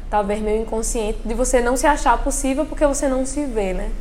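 A woman talks at a very fast pace, with audible room echo and noticeable background noise. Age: 20s. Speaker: dancer and dance student. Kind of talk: interview testimony.

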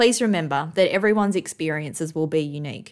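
This is an unremarkable speaking voice at a fairly quick pace with ordinary pitch variation, on a very clean recording with a silent background. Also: woman. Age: 30s. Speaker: podcast host, cancer patient. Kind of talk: scripted narration.

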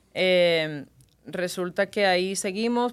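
The recording is very clean, with a silent background. A woman with a plain, everyday voice speaks at a fairly low pitch with ordinary pitch variation. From Cuba. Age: 30s. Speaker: singer and TV presenter. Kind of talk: casual interview.

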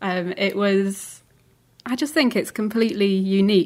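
A woman speaks with a Lancashire accent. Her intonation is fairly even. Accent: northern English (Lancashire). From England, Lancaster. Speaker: podcast host. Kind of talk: casual chat.

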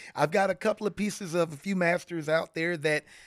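A man talks with an American accent at a high pitch and a moderate pace. The recording is very clean with a silent background. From US South, Florida (St. Petersburg/Tampa Bay). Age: 40s. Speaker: retired Air Force veteran and furniture maker. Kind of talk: casual interview. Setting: in a home, face to face.

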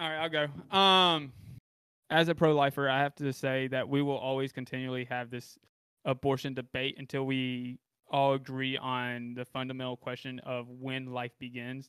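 A man with an American accent speaks at a medium pitch and a moderate pace in an ordinary speaking voice. His intonation is fairly even. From US South. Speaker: podcast co-host. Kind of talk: panel discussion on politics.

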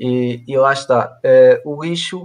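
This man speaks with a European Portuguese accent. His intonation stays fairly even. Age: 20s. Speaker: mechanical engineer. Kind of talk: interview on a live stream. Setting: online live stream. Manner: halting, many repetitions.

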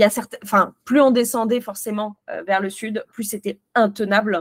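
A woman talks at a moderate pace in a fairly high pitch. Her intonation is flat and monotone, and the sound is dry and close with no echo. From France. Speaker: film youtuber. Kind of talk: casual interview. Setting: video call.

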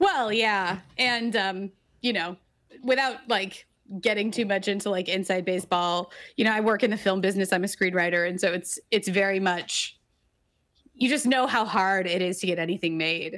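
This woman has an ordinary speaking voice, medium pitch, ordinary pitch variation and a moderate pace on a very clean recording with a silent background. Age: 30s. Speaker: screenwriting video writer and podcaster. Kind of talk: casual chat.

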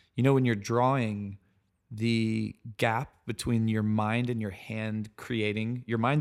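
A man's unremarkable speaking voice with an American accent, medium pitch, fairly even intonation and moderate pace on a very clean recording with a silent background. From US South, South Carolina. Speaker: architect. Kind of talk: casual interview. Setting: in person, Brooklyn.

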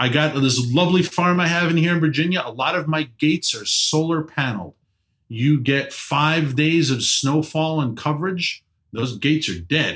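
Speaking at a moderate pace, a man with a New York accent uses ordinary pitch variation. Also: fairly high pitch for a man. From New York City; Queens, New York. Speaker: energy policy advocate. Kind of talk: casual interview.

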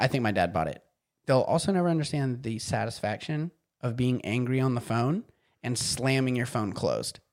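This man has an unremarkable speaking voice, pitched in the medium range, with lively intonation. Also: moderate pace. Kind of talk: casual chat.

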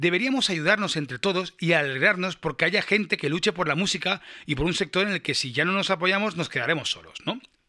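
In a very clean recording with a silent background, a man with a high pitch and a bright, sharp tone speaks at a fairly quick pace with ordinary pitch variation. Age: 40s. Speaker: musician and podcast host. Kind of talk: casual monologue, reading listener comments. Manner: halting, repeats words.

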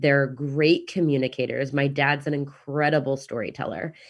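A woman with a Midwestern accent, very deep and low in pitch, at a moderate pace. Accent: American Midwestern. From Kansas City, US Midwest. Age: 30s. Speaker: digital nomad and real estate investor. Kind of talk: casual interview chat.

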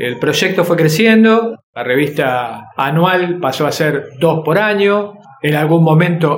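A man speaks in a Rioplatense accent. His pitch is high. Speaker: workshop teacher. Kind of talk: interview.

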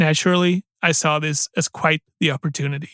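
A man with a Danish accent speaks at a moderate pace, his pitch fairly high and his intonation fairly even. The recording is very clean with a silent background, and the sound is dry and close with no echo. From Denmark. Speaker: podcast host and storyteller. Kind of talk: scripted storytelling narration.

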